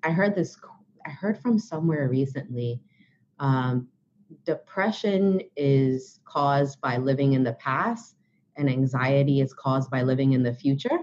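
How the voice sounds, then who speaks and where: Speaking at a fairly slow pace, a woman with an American accent uses a very deep, low pitch. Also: lively intonation. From Brooklyn, New York. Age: 30s. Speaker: author and blogger. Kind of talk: interview.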